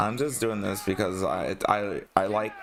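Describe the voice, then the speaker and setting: Over music in the background, a man speaks at a fairly low pitch with fairly even intonation. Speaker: gaming streamer. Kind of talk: casual chat. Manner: halting, frequent pauses.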